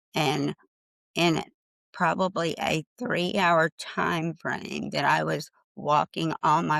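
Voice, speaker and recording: A woman's very deep, low voice carries vocal fry in a dry, close sound with no echo. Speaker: trauma survivor and book contributor. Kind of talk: testimony.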